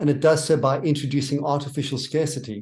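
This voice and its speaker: With a South African accent, a man talks fairly quickly at a fairly high pitch, sounding somewhat breathy. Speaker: minister and theologian. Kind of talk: interview.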